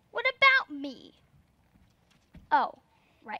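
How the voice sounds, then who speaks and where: In a put-on character voice with a high pitch, a woman speaks with a dry, close sound and no echo. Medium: stage play.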